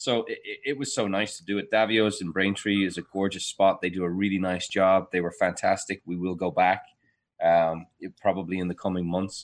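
Against a quiet background, a man with a fairly low pitch talks at a fairly quick pace with fairly even intonation. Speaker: financial advisor, retirement planning firm founder. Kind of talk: casual radio chat. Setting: remote, separate room at home. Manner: loud.

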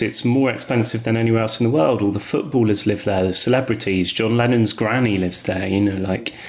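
Amid noticeable background noise, a man talks at a medium pitch with ordinary pitch variation. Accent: southern English. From England. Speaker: artist. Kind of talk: interview.

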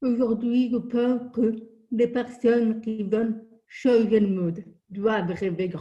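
A woman's somewhat breathy, dark, mellow voice, fairly high in pitch, with fairly even intonation at a very slow pace. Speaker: deaf lawyer and motivational speaker. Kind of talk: interview.

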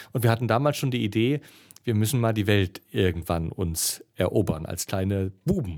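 A man with an unremarkable speaking voice, fairly low in pitch, with lively intonation at a moderate pace. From East Germany. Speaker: adventurer and travel speaker. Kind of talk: casual interview. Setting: festival venue.

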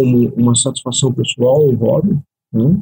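Somewhat breathy and dark, mellow in tone, a man speaks at a fairly slow pace in a dry, close sound with no echo. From Brazil, Curitiba (Paraná). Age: 40s. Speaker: hypnotherapist specializing in regression. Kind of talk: interview.

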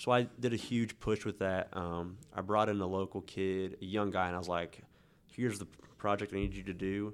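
A man with an American accent speaks at a moderate pace in a fairly low, monotone voice with flat intonation, on a very clean recording with a silent background. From Kansas, Newton. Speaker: author and electrician. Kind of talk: casual interview.

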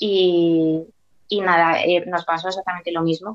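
A woman's normal speaking voice, fairly low in pitch, at a fairly slow pace. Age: 30s. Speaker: preschool teacher and mother. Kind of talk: personal testimony interview.

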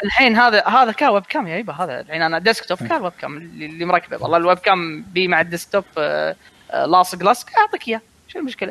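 A man speaks at a very fast pace with a high voice. His intonation is lively. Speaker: gamer panelist. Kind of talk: casual chat. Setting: online call, live stream.

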